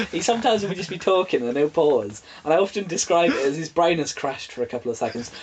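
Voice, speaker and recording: The speaker talks at a very fast pace with an English accent. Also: man. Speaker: podcast co-host. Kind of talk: casual chat.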